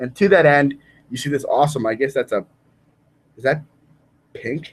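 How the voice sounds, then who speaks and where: A man's somewhat breathy, animated voice, fairly high in pitch, at a moderate pace with ordinary pitch variation. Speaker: youth leadership presenter. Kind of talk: virtual school assembly presentation. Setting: video call from home dining room. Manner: casual, animated.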